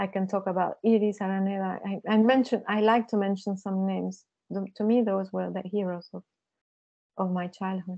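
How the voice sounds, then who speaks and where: A woman talks in a monotone with flat intonation. She has a Spanish accent. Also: medium pitch for a woman. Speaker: visual artist and author. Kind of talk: seminar conversation. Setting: seminar with audience. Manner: halting.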